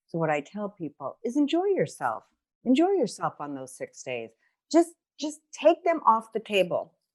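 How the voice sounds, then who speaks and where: A woman with an American accent talks at a moderate pace and a fairly high pitch, with very wide pitch swings and big swings in loudness. The sound is dry and close with no echo, over a quiet background. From New York. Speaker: nurse, kidney stone diet educator. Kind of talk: podcast chat, health advice. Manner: animated, conversational.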